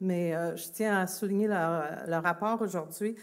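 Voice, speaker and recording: A woman speaks at a moderate pace with fairly even intonation in a very clean recording against a silent background. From Quebec, Longueuil. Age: 60s. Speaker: festival organization president. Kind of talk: public speech. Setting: outdoor public event, broadcast live on radio. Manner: hesitant, many fillers.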